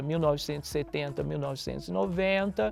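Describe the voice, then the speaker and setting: A man speaks with lively intonation at a fairly high pitch. Music plays in the background. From Brazil, southern Minas Gerais. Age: 60s. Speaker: musician and researcher. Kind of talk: interview monologue.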